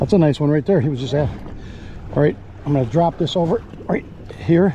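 Light background noise sits behind this recording. A man speaks at a moderate pace with lively intonation. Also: dry sound with no echo. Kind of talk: casual instructions and commentary while fishing. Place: boat. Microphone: phone near.

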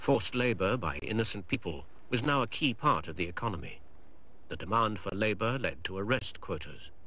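A man's fairly low, bright, sharp voice at a fairly quick pace, with lively intonation. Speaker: documentary narrator. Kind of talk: 1990 documentary narration. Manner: formal, measured, grave; even, authoritative.

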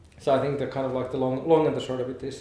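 Recorded with audible room echo and light background noise, a man speaks at a medium pitch in a monotone, flat intonation. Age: 40s. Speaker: game company founder, education expert. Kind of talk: interview answers. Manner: halting, many fillers. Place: hall.

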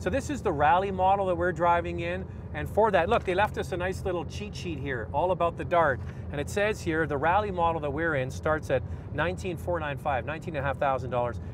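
A man talks at a very fast pace. The sound is dry with no echo, though there's noticeable background noise. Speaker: car reviewer host. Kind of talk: commentary. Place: car.

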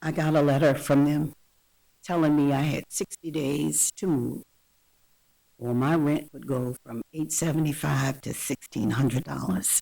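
At a fairly slow pace, a woman speaks with a very deep, low pitch, ordinary pitch variation and vocal fry. Her tone is dark and mellow, and the sound is dry and close with no echo. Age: 60s. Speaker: tenant speaking at public comment. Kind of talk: public comment testimony.

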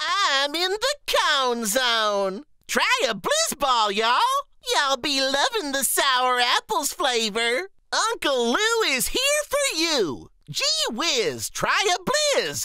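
A put-on character voice pitched high. The pace is very slow. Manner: bubbly, salesman cheer.

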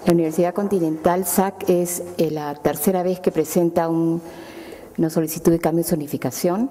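Using fairly even intonation, a woman with a fairly low pitch speaks at a moderate pace. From Peru. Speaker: city councillor. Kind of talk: formal council report. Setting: council chamber. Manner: halting. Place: hall. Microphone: podium.

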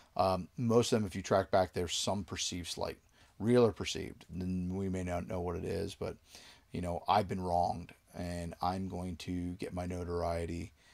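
A man speaks at a low pitch and a moderate pace, with vocal fry and a slightly mellow tone. His pitch moves little, and the recording is very clean with a silent background.

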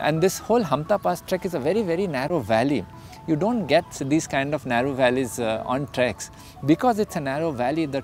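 Faint music plays in the background as a man talks at a fairly quick pace, the sound dry with no echo. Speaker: trek company guide or founder. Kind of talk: interview answer. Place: garden.

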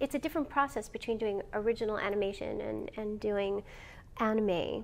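The speech comes at a fairly quick pace. Its pitch variation is ordinary. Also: woman, fairly high pitch for a woman. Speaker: voice actor. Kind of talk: interview answer. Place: meeting room.

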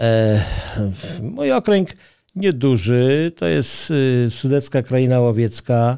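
Over a quiet background, a man talks at a very slow pace in a medium pitch with a dark, mellow tone. His intonation is lively while his loudness stays very even. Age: old. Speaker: hunter; interview guest. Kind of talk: interview. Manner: halting. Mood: calm, earnest. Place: studio. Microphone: studio mic.

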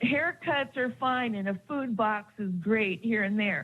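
Somewhat breathy and fairly high-pitched, a woman talks at a fairly slow pace with ordinary pitch variation. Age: 60s. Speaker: public commenter at city council. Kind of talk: public comment testimony. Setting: city council meeting. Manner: impassioned.

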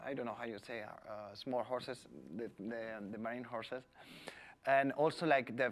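A man's medium-pitched voice with a Spanish accent, fairly even intonation, and a very clean recording over a silent background. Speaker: environmental official. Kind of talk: presentation. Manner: halting.

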